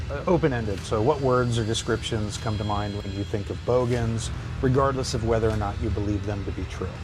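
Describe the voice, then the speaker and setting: Very fast speech from a man with an American accent and fairly low pitch, with audible room echo and music in the background. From US Midwest, Ohio. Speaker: psychology lecturer. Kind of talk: podcast interview. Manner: hesitant, many fillers.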